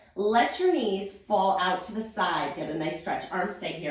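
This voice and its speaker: Amid audible room echo, a woman speaks at a moderate pace with very wide pitch swings. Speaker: pilates instructor. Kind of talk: guided workout instruction.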